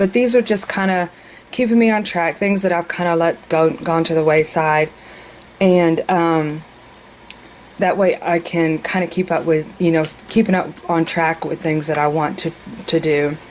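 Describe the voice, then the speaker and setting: Over noticeable background noise, a woman talks at a moderate pace in a fairly low pitch. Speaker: mother. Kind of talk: casual planner walkthrough to camera.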